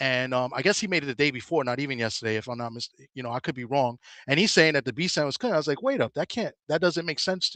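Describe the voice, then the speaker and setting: A man with a fairly high pitch and a bright, sharp tone talks at a very fast pace, his loudness swinging widely and his pitch varying in an ordinary way, in a dry, close sound with no echo. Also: quiet background. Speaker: boxing show panelist. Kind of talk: casual boxing discussion. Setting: at work, remote call.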